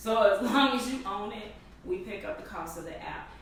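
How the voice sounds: Her intonation is lively. A woman speaks with audible room echo. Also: medium pitch for a woman, moderate pace.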